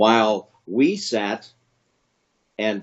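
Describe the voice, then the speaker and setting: A man speaks with ordinary pitch variation. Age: 60s. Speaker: family elder interviewee. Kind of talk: family history interview. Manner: halting, many fillers.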